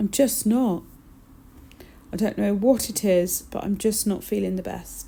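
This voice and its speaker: A woman with an English accent, medium-pitched, dark and mellow, somewhat breathy, with fairly even intonation, a fairly slow pace and long, frequent pauses. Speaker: nail technician. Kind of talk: tutorial. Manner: subdued, flat.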